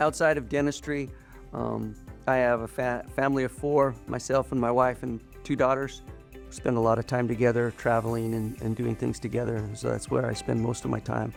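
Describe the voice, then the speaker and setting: With music in the background, a man talks at a moderate pace in an American accent. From Utah. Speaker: dentist. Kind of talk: interview monologue. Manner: casual, with some halting repeats.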